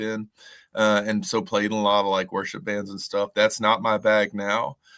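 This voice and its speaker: This very clean recording, with a silent background, carries a bright, sharp tone at a moderate pace with a Southern Appalachian accent. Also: man. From US South, Western North Carolina. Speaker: singer-songwriter. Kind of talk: radio interview. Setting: radio studio.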